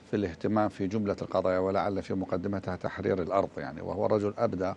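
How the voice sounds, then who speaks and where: Light background noise behind a man at a moderate pace, fairly low in pitch, with fairly even intonation. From Iraq. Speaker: religious thinker and researcher; guest. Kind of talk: TV interview. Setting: remote link from another city. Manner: formal.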